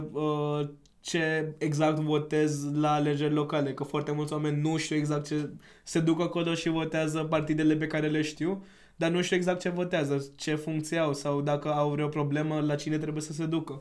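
This man's pitch sits fairly high, and he has a non-native accent. He keeps a moderate pace and monotone, flat intonation, with audible room echo. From India. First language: not Romanian (speaking Romanian). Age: 20s. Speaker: podcast guest, civic project founder. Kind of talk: casual chat.

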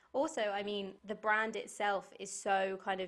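At a moderate pace and medium pitch, a woman speaks with a British accent in a very clean recording with a silent background. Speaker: podcast host. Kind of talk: casual chat. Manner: animated.

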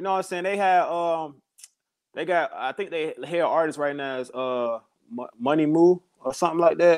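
Against a quiet background, a man speaks at a high pitch and a moderate pace with ordinary pitch variation. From Chicago. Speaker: rapper. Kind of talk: casual interview chat.

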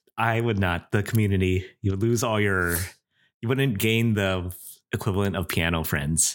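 A man's unremarkable speaking voice, fairly low-pitched, with ordinary pitch variation, very even loudness and a moderate pace, on a very clean recording with a silent background. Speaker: podcast co-host. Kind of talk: casual chat. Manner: laid-back, laughs often.

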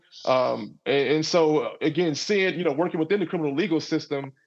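Over music in the background, a man speaks with an American accent at a fairly quick pace. His pitch is fairly high and his intonation fairly even. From US South, Garland, Texas (Dallas area). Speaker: criminology professor. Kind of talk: interview. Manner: halting, many fillers and repetitions.

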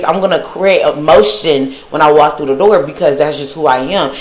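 A woman speaks in an animated tone at a moderate pace. Audible room echo and noticeable background noise surround her voice. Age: 20s. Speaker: podcast host. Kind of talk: solo monologue.

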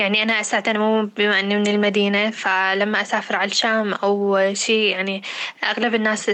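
Over noticeable background noise, a woman talks at a moderate pace and medium pitch, in a flat monotone with very even loudness and hardly any pauses. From Syria, Deir ez-Zor city. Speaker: podcast co-host. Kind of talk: casual chat.

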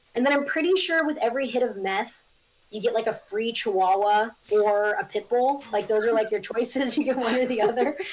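Animated in tone, a woman with an American accent talks at a fairly quick pace, her fairly high pitch showing ordinary pitch variation. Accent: often taken for US East Coast. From Northern California (Eureka). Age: 20s. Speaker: artist. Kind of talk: casual chat. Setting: video call.

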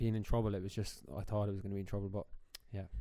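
The speaker talks with an Irish accent and fairly even intonation. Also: man. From Ireland. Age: 20s. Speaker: podcast co-host, teacher. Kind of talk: casual chat.

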